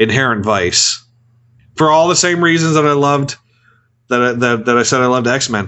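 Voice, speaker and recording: A man talks at a fairly quick pace in an animated tone, with long, frequent pauses. His pitch is medium, with ordinary pitch variation. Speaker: movie review podcast host. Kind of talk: casual banter, movie review podcast. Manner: animated, joking.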